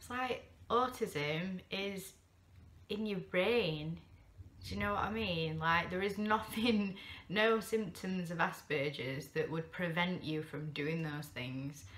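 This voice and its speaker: Very slowly and with lively intonation, a woman with a Yorkshire accent speaks at a fairly low pitch. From Sheffield, England. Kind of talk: casual talk to camera. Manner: rambling, hesitant.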